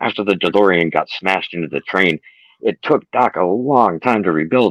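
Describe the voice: Lively intonation over plain reading aloud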